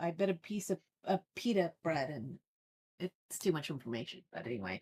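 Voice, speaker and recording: Marked by vocal fry, a woman's dark, mellow tone comes through with a dry, close sound with no echo. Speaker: online community host and tutorial presenter. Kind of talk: live-stream tutorial and Q&A. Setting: live stream with webcam at a desk.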